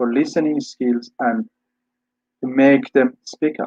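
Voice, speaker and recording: With an Iranian accent, a man speaks at a fairly slow pace with ordinary pitch variation, in a dry, close sound with no echo. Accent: Iranian (Persian). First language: Persian. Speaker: English teacher and scholar. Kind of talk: lecture. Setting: webinar video call.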